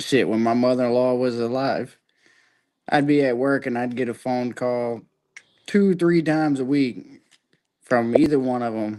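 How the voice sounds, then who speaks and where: Speaking at a moderate pace with long, frequent pauses, a man with a Southern US accent has a dark, mellow tone, medium pitch and ordinary pitch variation. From Florida. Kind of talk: casual chat.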